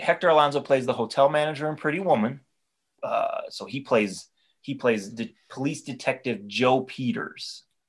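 At a moderate pace and a fairly high pitch, a man with an ordinary speaking voice talks with ordinary pitch variation. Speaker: podcast co-host. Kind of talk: comedic podcast banter.

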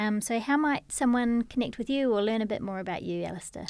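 A woman speaks at a fairly quick pace with a New Zealand accent and ordinary pitch variation. The recording is very clean, with a silent background. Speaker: podcast host. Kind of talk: interview; scripted intro. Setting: studio.

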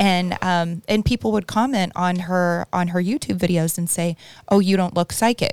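Captured in a very clean recording with a silent background, a woman talks in a plain, everyday voice at a medium pitch and moderate pace, with ordinary pitch variation. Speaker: podcast co-host. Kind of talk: casual interview chat.

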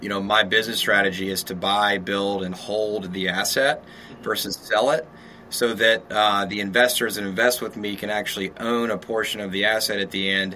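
A man with an American accent speaks in a plain, everyday voice at a fairly low pitch. His pace is moderate and his intonation fairly even. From US South, Shreveport, Louisiana. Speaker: real estate developer. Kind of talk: interview. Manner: casual.

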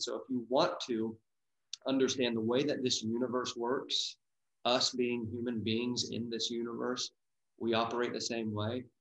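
A man with an American accent, medium pitch, and fairly even intonation talks at a moderate pace in an unremarkable speaking voice. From US Midwest, Dayton, Ohio. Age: 30s. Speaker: wellness business owner. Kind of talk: interview.

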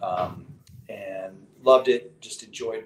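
The speaker is a man. He talks with a Western US accent. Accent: General American (western US). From Colorado. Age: 40s. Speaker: writer and entrepreneur. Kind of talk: casual chat.

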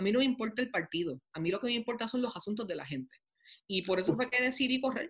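Her intonation is lively and her pace very fast. The woman's voice is somewhat breathy. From Puerto Rico (Toa Baja). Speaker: mayor and congressional candidate. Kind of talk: interview. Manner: halting, many fillers.

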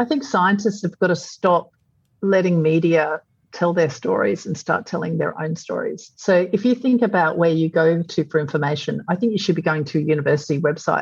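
A woman's fairly low, somewhat breathy voice with an Australian accent and ordinary pitch variation. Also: fairly quick pace. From Australia, Brisbane. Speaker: publisher and entrepreneur. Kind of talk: interview.

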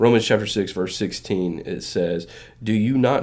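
At a moderate pace, a man uses a normal speaking voice, pitched fairly low with ordinary pitch variation. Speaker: podcast co-host. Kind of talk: casual chat.

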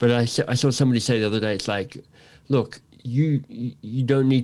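A man in an Australian accent with ordinary pitch variation. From Australia, Canberra. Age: 50s. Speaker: author and coach. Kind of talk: casual interview.

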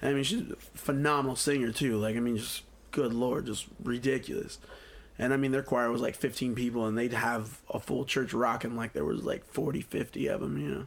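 A man with an American accent and an unremarkable speaking voice, medium in pitch with ordinary pitch variation, at a moderate pace. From US Midwest, Quad Cities. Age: 30s. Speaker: singer. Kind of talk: casual chat.

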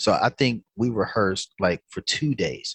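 A man speaks with a North Carolina accent over a quiet background. The sound is dry and close, with no echo. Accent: Southern US, North Carolina. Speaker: musician and musical director. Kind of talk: casual interview storytelling.

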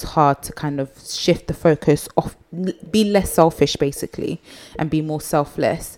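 Over noticeable background noise, a woman speaks at a moderate pace in a very deep, low pitch. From Nigeria. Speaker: podcast host, mother running a business. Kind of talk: casual interview chat. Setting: recording at home with child in background.

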